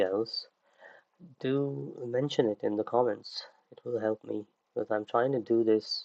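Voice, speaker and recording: Soft-spoken and dark, mellow in tone, a man talks at a moderate pace with ordinary pitch variation, his sound dry and close with no echo over a quiet background. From UK. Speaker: 3D creature artist and online instructor. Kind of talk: livestream tutorial. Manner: hesitant, many fillers.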